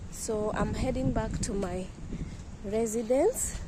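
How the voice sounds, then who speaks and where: Her pitch fairly high, a woman speaks at a fairly slow pace with ordinary pitch variation over noticeable background noise. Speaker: travel vlogger. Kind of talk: casual vlog. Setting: outdoors.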